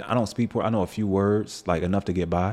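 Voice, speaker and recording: With an American accent, this is an ordinary speaking voice moving at a fairly quick pace. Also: man. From Virginia, US. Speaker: fashion photographer. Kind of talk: casual chat. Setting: studio.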